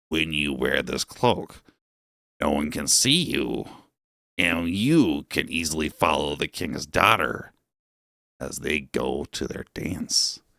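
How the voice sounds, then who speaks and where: A man puts on a growling character voice, very deep and low, with ordinary pitch variation. He speaks at a fairly slow pace with long, frequent pauses, in a dry, close sound with no echo. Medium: read story. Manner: calm, knowing.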